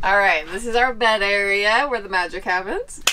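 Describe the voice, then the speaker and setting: Light background noise sits behind the voice. Its tone is bright and sharp. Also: woman. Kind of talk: home tour explanation. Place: bus. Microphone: camera far.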